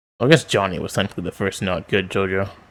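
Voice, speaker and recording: Very fast speech on a very clean recording with a silent background. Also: man. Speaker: manga reader. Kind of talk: reading aloud with commentary. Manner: monotone.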